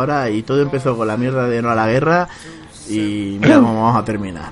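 A man rushes along at a very fast pace while music plays in the background. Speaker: podcast host. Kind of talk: casual chat. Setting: video call.

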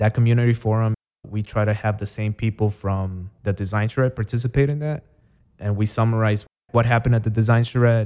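A man talks at a fairly quick pace with fairly even intonation. His medium-pitched voice has a dark, mellow tone. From Chicago, South Side (born in Guatemala, moved at seven). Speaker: nonprofit executive director. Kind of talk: interview.

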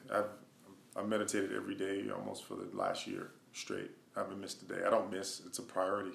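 Words tumble out of a man at a very fast pace. The room around him adds audible echo. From Wisconsin, US Midwest. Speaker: hip hop artist and songwriter. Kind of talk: interview. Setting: home studio.

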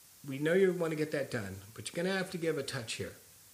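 A man talks at a very fast pace in an American accent. His voice is somewhat breathy. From California. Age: 50s. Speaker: punk rock vocalist. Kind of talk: casual interview conversation. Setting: at his house.

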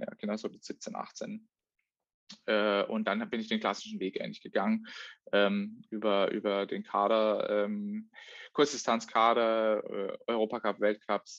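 A man talks at a fairly slow pace, stopping often for long pauses. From Baden, southwest Germany (Offenburg). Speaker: professional triathlete. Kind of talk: casual chat. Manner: halting, many fillers.

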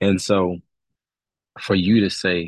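Against a quiet background, a man speaks with a Louisiana accent in a very deep, low pitch and flat monotone, the sound dry and close with no echo. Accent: Southern US (Louisiana). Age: 20s. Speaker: business coach. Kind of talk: casual interview chat.

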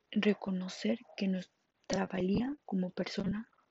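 Speech comes at a very slow pace, somewhat breathy and with fairly even intonation. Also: woman. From Mexico, Monterrey, Nuevo León. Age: 20s. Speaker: podcaster. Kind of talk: personal testimony monologue. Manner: halting.

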